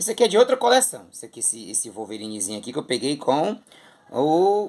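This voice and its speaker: A man speaks at a fairly high pitch with very wide pitch swings. Vocal fry runs through his voice. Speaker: comic collector YouTuber, theatre artist. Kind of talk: casual collection show-and-tell. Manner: animated.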